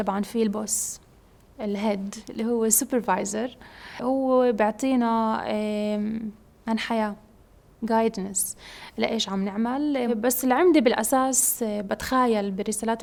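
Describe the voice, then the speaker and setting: A woman's fairly high voice moves at a fairly slow pace with fairly even intonation. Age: 20s. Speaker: PhD student in biomedical engineering. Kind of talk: interview testimony. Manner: hesitant, many fillers.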